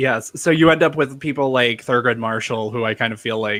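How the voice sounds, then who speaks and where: This man's voice sits at a medium pitch. His tone is bright and sharp. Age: 30s. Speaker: political talk show host. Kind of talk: panel discussion.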